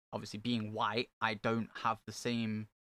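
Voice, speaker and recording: A man with an East Midlands accent speaks at a moderate pace and medium pitch in a bright, sharp tone, his intonation monotone and flat, the sound dry and close with no echo in a very clean recording over a silent background. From England, Nottingham (Meadows area). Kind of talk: casual chat.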